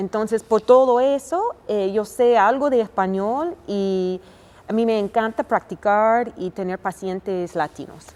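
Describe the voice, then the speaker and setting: This woman speaks with an American accent. Her pitch is fairly high and her pace fairly slow. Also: ordinary pitch variation. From United States. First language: English (speaking Spanish). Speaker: family doctor. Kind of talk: interview. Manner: halting, many fillers.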